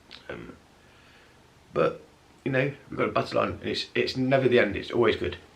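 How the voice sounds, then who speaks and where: A man with an English accent at a moderate pace. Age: 30s. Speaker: vlogger with multiple sclerosis. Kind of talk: casual vlog. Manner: halting; mumbling at times.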